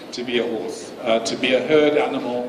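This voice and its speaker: Over noticeable background noise, a man talks at a fairly quick pace with monotone, flat intonation. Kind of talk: press event answer. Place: hall. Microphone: camera far.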